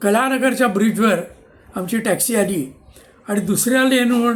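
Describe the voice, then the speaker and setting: A high-pitched man speaks with ordinary pitch variation over music in the background, his voice carrying audible room echo. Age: 70s. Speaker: retired civil engineer. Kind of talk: personal storytelling monologue.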